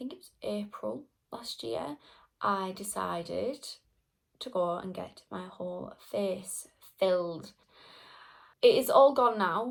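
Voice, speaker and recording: Talking at a very slow pace, a woman leaves long, frequent pauses, and her loudness swings widely. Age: 20s. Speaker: beauty vlogger. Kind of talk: casual storytime monologue.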